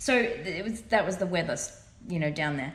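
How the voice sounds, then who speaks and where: With an Australian accent and a fairly low pitch, a woman talks at a very fast pace amid audible room echo. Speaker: tarot reader. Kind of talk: tarot reading monologue. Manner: casual, filler-heavy.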